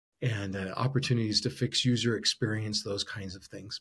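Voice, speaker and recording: An unremarkable speaking voice belongs to a man talking at a moderate pace and fairly low pitch with fairly even intonation. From Arizona. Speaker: podcast host and entrepreneur. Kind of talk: solo podcast monologue. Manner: frequent fillers and repetitions.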